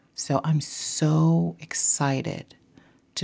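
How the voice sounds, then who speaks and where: In a very clean recording against a silent background, a woman speaks with a very deep, low pitch, a dark, mellow tone and a somewhat breathy quality. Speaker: podcast host. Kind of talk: casual solo monologue.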